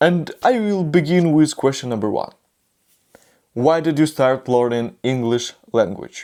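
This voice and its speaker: This speaker has a non-native accent. The pace is fairly slow. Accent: non-native English learner. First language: not English. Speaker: YouTuber learning English. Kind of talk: vlog, answering questions on camera. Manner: halting, with many restarts.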